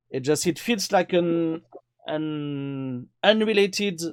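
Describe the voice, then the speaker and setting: This man has a fairly high pitch and a French accent, with very wide pitch swings. The recording is very clean and the background silent. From France. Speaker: cameraman. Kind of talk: casual chat. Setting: live stream.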